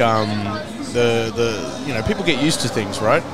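Loud background noise surrounds a man speaking at a fairly quick pace. The sound is dry, with no echo. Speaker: stream host. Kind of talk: casual podcast conversation. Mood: relaxed, smiling. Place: cafe. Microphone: studio mic.

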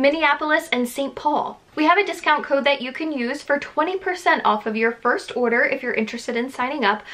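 A woman talks in a high pitch at a moderate pace. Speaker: YouTuber reviewing a subscription box. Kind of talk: casual vlog chat. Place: home room.

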